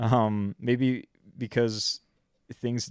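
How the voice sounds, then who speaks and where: In a plain, everyday voice, a man with a Canadian accent speaks at a medium pitch with fairly even intonation, the recording very clean with a silent background and a dry, close sound with no echo. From Canada. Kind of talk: casual chat.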